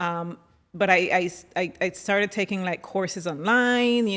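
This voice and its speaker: A woman talks at a medium pitch. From Colombia, San Andres island. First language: San Andres Creole English. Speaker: operations leader and fashion stylist. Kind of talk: interview.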